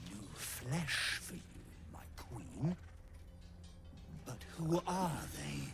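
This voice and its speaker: Over loud background noise, a man in a put-on character voice speaks at a medium pitch and a very slow pace, with long, frequent pauses. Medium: video game. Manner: sinister, obsequious.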